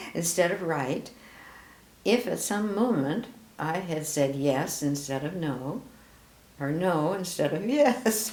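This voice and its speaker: Amid noticeable background noise, a woman talks very slowly with long, frequent pauses, her fairly low voice carrying lively intonation. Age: 80s+. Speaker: grandmother. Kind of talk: reading aloud with casual comments.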